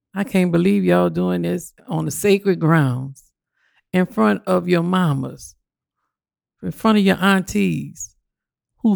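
In a New Orleans accent, a woman speaks at a fairly slow pace with long, frequent pauses and very wide pitch swings. The recording is very clean, with a silent background. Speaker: parent union organizer. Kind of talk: casual chat. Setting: studio.

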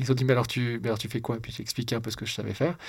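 A man speaks at medium pitch in a somewhat breathy voice. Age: 40s. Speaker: entrepreneur and investor. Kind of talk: interview conversation.

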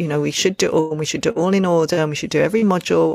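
A woman rushes along at a very fast pace while noticeable background noise is heard. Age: 50s. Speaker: podcast co-host, parenting educator. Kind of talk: casual chat.

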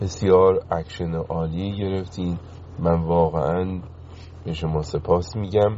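Very slow and with fairly even intonation, a man speaks in a very deep, low pitch. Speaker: caller. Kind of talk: phone-in call.

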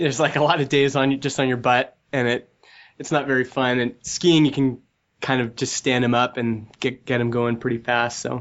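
At medium pitch, a man talks with monotone, flat intonation. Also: moderate pace. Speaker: software entrepreneur and podcast host. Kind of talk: interview.

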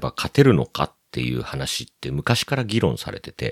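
A man talks at a moderate pace with very wide pitch swings, recorded in a dry, close sound with no echo. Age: 40s. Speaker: plastic model photographer and website operator. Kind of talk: casual chat.

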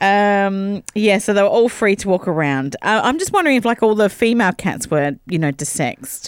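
A woman with an Australian accent speaks at a moderate pace and medium pitch, with hardly any pauses. Her intonation is lively, and the sound is dry and close with no echo. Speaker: radio co-host. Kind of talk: casual radio chat. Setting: studio.

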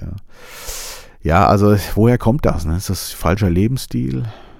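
This man's very deep, low voice makes very wide pitch swings. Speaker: podcast host. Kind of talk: casual monologue. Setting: studio. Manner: soft-spoken.

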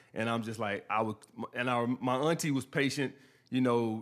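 A medium-pitched man with a New York accent, moderate pace and ordinary pitch variation. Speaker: YouTube dating advice commentator. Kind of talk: casual interview chat.

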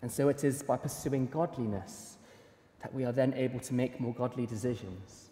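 A man with a dark, mellow tone and a somewhat breathy quality talks at a medium pitch and a moderate pace. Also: ordinary pitch variation. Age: 20s. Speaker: preacher. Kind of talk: sermon.

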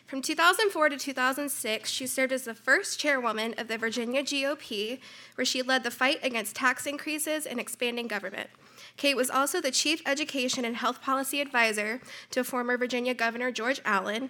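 A woman with a bright, sharp tone pitches her voice high, raising and projecting it. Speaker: conference introducer. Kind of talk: formal speaker introduction. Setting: conference stage with audience.

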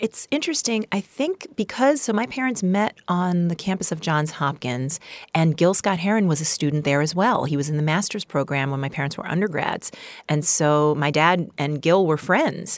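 A woman with a New York accent speaks at a moderate pace with lively intonation. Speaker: playwright and solo performer. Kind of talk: interview conversation. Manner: animated.

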